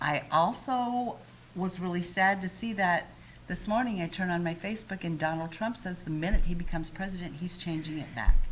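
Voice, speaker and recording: A somewhat breathy woman's voice, fairly low in pitch, with an American accent. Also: ordinary pitch variation, fairly quick pace. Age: 50s. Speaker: talk show host. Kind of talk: casual chat.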